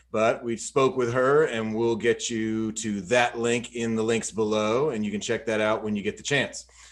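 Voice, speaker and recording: In a very clean recording with a silent background, a man with an American accent and a normal speaking voice talks at a medium pitch and moderate pace with fairly even intonation. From Georgia, US South. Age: 30s. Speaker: podcast host. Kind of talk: podcast intro reading; casual chat. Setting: studio.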